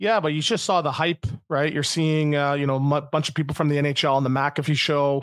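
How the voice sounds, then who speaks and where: This man has a normal speaking voice with a Canadian accent and a fairly high pitch, fairly even intonation, and very even loudness. He talks with hardly any pauses on a very clean recording with a silent background. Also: fairly quick pace. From Quebec. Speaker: former NHL player and guest co-host. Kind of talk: casual sports chat.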